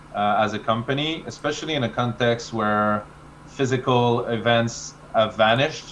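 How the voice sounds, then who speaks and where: A man with a French accent, medium pitch and a fairly slow pace. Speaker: marketing expert. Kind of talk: webinar presentation.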